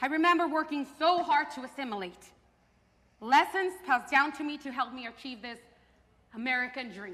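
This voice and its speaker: A raised, projected voice at a fairly quick pace, with lively intonation, big swings in loudness, long, frequent pauses and noticeable background noise. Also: woman, high pitch for a woman. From Mexico and Fresno, California. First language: Spanish. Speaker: theater performer. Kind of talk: staged performance.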